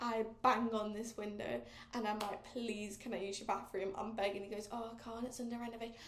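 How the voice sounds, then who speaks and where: A woman with an English accent at a fairly high pitch and fairly quick pace, amid noticeable background noise and audible room echo. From England. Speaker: podcast host. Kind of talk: casual chat. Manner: animated.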